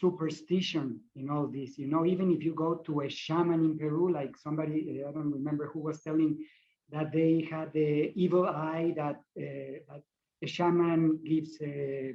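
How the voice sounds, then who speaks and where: A man talks at a moderate pace in a fairly high pitch, with fairly even intonation. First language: not English. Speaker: shamanic practitioner. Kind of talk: panel discussion. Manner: halting.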